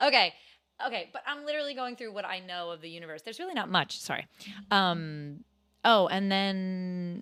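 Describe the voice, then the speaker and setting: An animated, bright and sharp voice with lively intonation, big swings in loudness and a moderate pace, on a very clean recording with a silent background. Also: woman. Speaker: podcast co-host. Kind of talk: casual chat.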